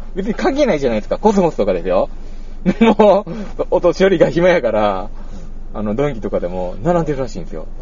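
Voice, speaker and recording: A man with a Kansai accent at a very fast pace. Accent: Kansai dialect with local Nabari features. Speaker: podcast host. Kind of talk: casual chat.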